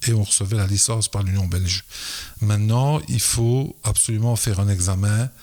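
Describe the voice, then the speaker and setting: Somewhat breathy, a man with a fairly low pitch talks at a moderate pace with fairly even intonation. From Belgium, Liège area. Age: 60s. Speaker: football players' agent and school educator. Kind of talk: podcast interview. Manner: hesitant, many fillers.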